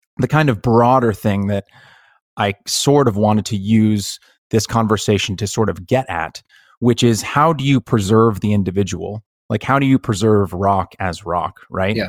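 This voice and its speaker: A man with an unremarkable speaking voice, fairly low pitch, and ordinary pitch variation talks at a moderate pace, recorded very cleanly against a silent background with a dry, close sound with no echo. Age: 30s. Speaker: podcast host. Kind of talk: casual interview chat.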